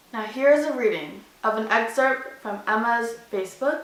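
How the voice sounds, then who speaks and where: A woman's raised, projected voice in an animated tone, with audible room echo and noticeable background noise. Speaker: vlogger. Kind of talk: storytime vlog; reading aloud. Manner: loud.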